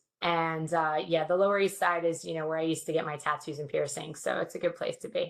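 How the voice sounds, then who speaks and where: A woman with a New York accent talks at a very fast pace with hardly any pauses, her pitch fairly low. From New York City, Queens. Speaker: security industry guest. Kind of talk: casual chat. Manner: animated.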